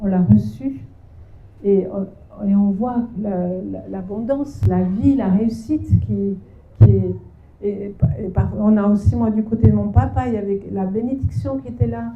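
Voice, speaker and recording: A woman speaks at a fairly slow pace with long, frequent pauses. Her voice carries audible room echo. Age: 60s. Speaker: seminar speaker on parenting. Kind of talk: sermon. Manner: halting.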